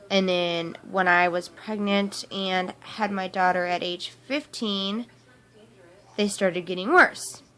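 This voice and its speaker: Music plays behind a woman with an American accent who speaks at a very slow pace, medium pitch and fairly even intonation. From US Midwest, Topeka, Kansas. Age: 20s. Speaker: vlogger. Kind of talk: personal testimony vlog. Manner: hesitant, many fillers.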